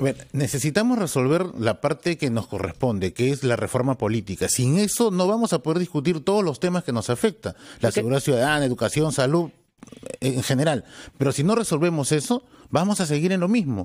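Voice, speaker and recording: Fairly high pitch from a man, very wide pitch swings, a fairly quick pace and a quiet background. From Peru. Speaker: congressman and party spokesman; party spokesman. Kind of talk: radio interview. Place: studio. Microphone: studio mic.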